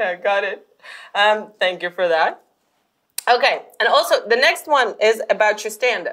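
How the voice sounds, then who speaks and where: At a moderate pace, a woman with a non-native accent and a fairly high pitch uses a bright, sharp tone and lively intonation, leaving long, frequent pauses. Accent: noticeable non-Russian foreign. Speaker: podcast host. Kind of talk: interview.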